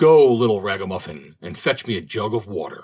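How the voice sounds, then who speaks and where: A man puts on a growling character voice. It sits at a fairly low pitch and moves at a fairly quick pace. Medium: read story. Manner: growling, archaic speech.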